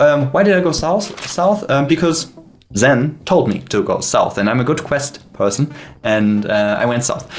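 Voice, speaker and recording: A fairly high-pitched male voice with a non-native accent, very wide pitch swings and a fairly slow pace. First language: not English. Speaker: indie game developer. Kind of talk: gameplay dev stream commentary. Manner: halting, many fillers; animated.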